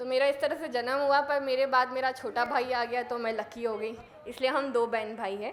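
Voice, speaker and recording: A woman speaks at a moderate pace. Her voice is high-pitched, and her intonation stays fairly even. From India, Madhya Pradesh (Sehore district village). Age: 30s. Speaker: mountaineer. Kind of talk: motivational talk. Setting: stage with audience.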